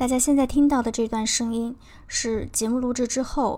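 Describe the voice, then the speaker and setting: Speaking at a moderate speed, the woman has a dark, mellow tone. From China. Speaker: podcast co-host. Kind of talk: scripted narration; casual chat. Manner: slightly halting, many fillers.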